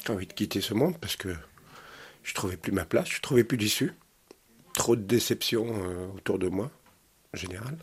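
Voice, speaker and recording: A man's somewhat breathy, fairly low voice at a moderate pace, with lively intonation, big swings in loudness and long, frequent pauses. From Normandy, Caen. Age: 50s. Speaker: resident of social housing. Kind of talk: interview testimony.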